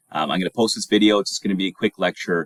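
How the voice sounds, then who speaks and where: The sound is dry and close, without echo. Vocal fry runs through this man's voice. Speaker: college instructor. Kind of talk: lecture. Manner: hesitant, many fillers.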